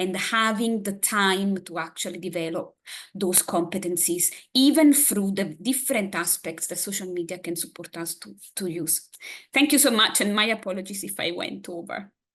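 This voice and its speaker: Against a quiet background, a woman with an Italian accent speaks at a moderate pace and medium pitch with ordinary pitch variation. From Italy. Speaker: academic presenter. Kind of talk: conference presentation.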